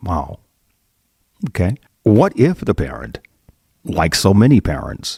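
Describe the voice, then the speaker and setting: A man with a fairly low pitch, vocal fry and a dark, mellow tone, at a fairly slow pace with long, frequent pauses and very wide pitch swings, in a dry, close sound with no echo. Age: 60s. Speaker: bishop and podcast host. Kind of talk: interview.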